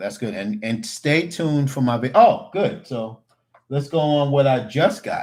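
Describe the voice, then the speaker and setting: Speech at a fairly slow pace with lively intonation. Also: man. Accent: New York. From New York (Queens, Long Island). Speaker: cooking YouTuber. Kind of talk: livestream chat. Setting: livestream with webcam. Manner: casual, animated.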